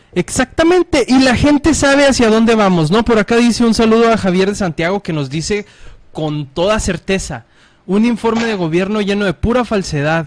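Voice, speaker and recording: A man speaks at a moderate pace in a high pitch with an animated tone and lively intonation. The sound is dry and close, with no echo. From Mexico, Ciudad Juárez, Chihuahua. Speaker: political internet show host. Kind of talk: casual political talk show.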